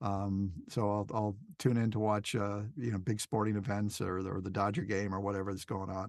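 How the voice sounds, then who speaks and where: Speaking in an ordinary speaking voice, a man talks at a fairly quick pace with fairly even intonation and hardly any pauses. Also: fairly low pitch for a man. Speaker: voice actor and documentary narrator. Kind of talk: casual interview.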